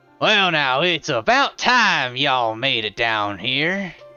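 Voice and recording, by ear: A man's put-on character voice in a Texan accent, medium in pitch and fairly slow, with faint music in the background. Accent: cartoon Texas cowboy.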